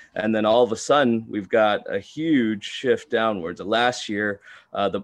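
The pitch shifts in an ordinary way. It is a normal speaking voice. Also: man. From Texas, Houston. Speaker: sports betting analyst. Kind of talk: casual chat.

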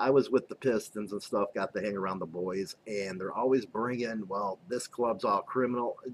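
With an American accent and an unremarkable speaking voice, a man talks at a moderate pace in a medium pitch. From Chicago, North Side (Rogers Park). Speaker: biker news show host and author. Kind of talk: casual podcast interview.

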